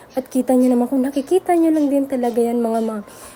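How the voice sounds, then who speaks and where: Against noticeable background noise, a high-pitched woman talks at a very fast pace with ordinary pitch variation. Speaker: vlogger, mother running a small store. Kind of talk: casual vlog narration. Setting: small store by the road. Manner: chatty, conversational.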